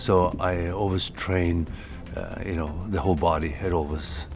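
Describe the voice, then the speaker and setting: With a Norwegian accent and ordinary pitch variation, a man talks over music in the background. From Norway. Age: 60s. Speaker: strongman competitor. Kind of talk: interview.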